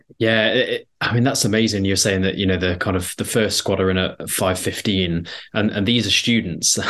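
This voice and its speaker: Speaking in an East Midlands accent, a man with a fairly low pitch talks at a moderate pace, with fairly even intonation and very even loudness. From Derbyshire, England. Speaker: podcast host. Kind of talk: podcast interview.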